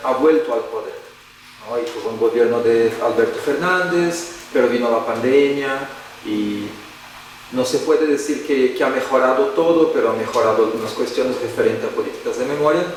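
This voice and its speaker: A man with a Brazilian accent at a moderate pace, amid audible room echo and noticeable background noise. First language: Portuguese (speaking Spanish). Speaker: professor. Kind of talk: lecture. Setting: lecture hall with audience. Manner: halting, many repetitions.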